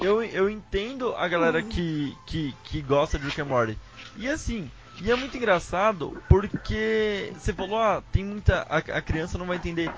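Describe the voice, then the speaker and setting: Over noticeable background noise, a man speaks at a moderate pace in a high pitch with lively intonation. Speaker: podcast host. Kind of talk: casual chat.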